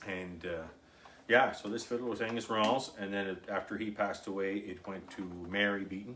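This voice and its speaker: Someone with a Cape Breton accent speaks at a fairly quick pace, with audible room echo. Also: man, fairly low pitch for a man, fairly even intonation. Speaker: fiddler. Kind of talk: casual chat.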